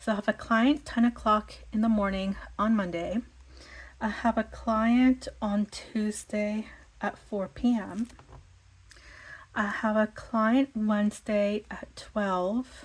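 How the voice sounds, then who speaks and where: Very slow delivery from a woman at a fairly high pitch, with long, frequent pauses, on a very clean recording with a silent background. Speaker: planner vlogger. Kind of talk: casual chatty tutorial. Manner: casual, many fillers and repetitions.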